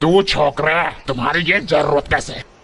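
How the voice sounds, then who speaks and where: A man's put-on character voice, fairly high in pitch, with fairly even intonation. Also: moderate pace. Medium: fan dub. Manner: coarse, jeering.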